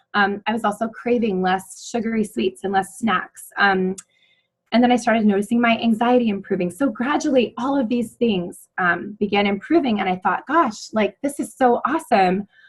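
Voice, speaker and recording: Her voice is somewhat breathy and fairly high for a woman. She keeps a moderate pace with ordinary pitch variation. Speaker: network marketing presenter. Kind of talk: sales pitch. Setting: phone call. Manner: hesitant with many fillers.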